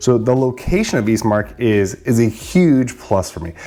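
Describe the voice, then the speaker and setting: A man talks at a medium pitch with ordinary variation while noticeable noise sounds behind him. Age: 40s. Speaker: real estate agent. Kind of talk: informational vlog. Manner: casual, conversational with fillers.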